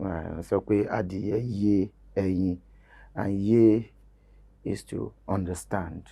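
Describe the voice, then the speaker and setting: A man speaks in a dark, mellow tone at a fairly low pitch. His intonation stays fairly even. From Nigeria, Ondo State (Yoruba). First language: Yoruba. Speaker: Yoruba language promoter, game show host. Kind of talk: interview. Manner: hesitant with fillers.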